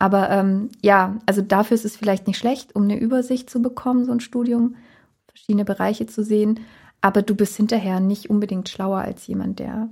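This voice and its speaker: The voice is somewhat breathy, moving at a moderate pace with monotone, flat intonation. Its loudness swings widely. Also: woman. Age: 30s. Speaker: wedding photographer. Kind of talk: interview.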